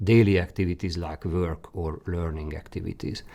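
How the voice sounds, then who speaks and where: With a Hungarian accent, a man speaks in a dark, mellow tone. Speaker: career guidance expert presenter. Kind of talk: webinar presentation. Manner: halting.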